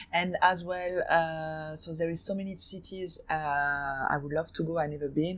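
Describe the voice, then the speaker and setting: Delivered in a French accent, the speech goes at a fairly slow pace with hardly any pauses. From France, raised in Hong Kong from 15. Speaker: fashion designer and gallery owner. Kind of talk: interview. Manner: halting, many fillers.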